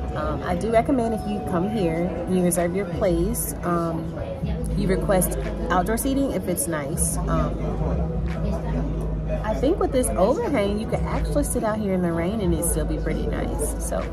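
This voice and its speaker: Loud music plays in the background as a woman talks at a moderate pace, leaving long, frequent pauses. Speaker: travel vlogger. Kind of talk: casual vlog chat. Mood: relaxed, pleased. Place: cafe. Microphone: phone near.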